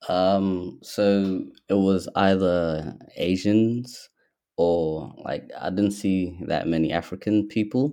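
A dark, mellow tone in an American accent, at a very slow pace with ordinary pitch variation and a quiet background. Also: man, very deep, low pitch for a man. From Ethiopia, Somali background, in Australia since age 10. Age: 20s. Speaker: young business owner. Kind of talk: casual interview. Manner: hesitant, many fillers.

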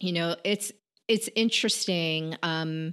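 In an ordinary speaking voice, a woman with an American accent talks at a fairly slow pace and fairly low pitch, with ordinary pitch variation over a quiet background. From Connecticut, US. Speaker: podcaster and entrepreneur. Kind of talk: casual interview chat.

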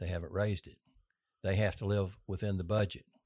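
With a Texan accent and fairly even intonation, the speaker moves at a fairly quick pace on a very clean recording with a silent background. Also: man. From Texas. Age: 60s. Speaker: political candidate. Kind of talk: casual interview.

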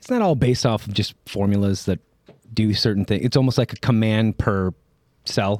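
Here is a man with an unremarkable speaking voice, fairly low in pitch, at a moderate pace. His intonation is fairly even, and the sound is dry and close with no echo. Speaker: podcast co-host. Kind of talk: casual chat.

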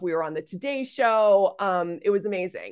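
Against a quiet background, a woman with a normal speaking voice talks at a moderate pace and medium pitch. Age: 40s. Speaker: founder of an online mothers' community, former comedy performer. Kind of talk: interview conversation.

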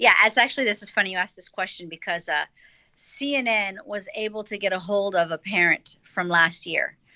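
A woman with an American accent uses a normal speaking voice at a medium pitch, moving at a moderate pace with ordinary pitch variation. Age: 40s. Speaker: school co-founder. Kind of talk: interview.

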